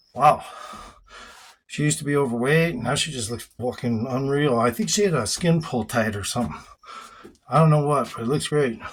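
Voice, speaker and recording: At a fairly quick pace, a man with a medium pitch and a somewhat breathy voice speaks with lively intonation, broken by long, frequent pauses. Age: 60s. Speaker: fitness vlogger. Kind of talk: workout vlog. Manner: breathy exertion between sets.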